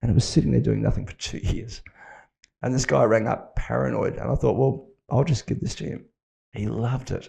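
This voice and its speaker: This man has an Australian accent. He talks at a fairly quick pace. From Western Australia (Fremantle, Perth). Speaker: tech company founder and CEO. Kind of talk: podcast interview. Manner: casual, with fillers and restarts.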